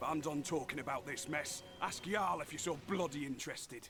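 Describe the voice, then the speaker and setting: Against clear background noise, a man does a gruff put-on character voice at a fairly high pitch and a fairly quick pace. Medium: video game. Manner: gruff, cursing.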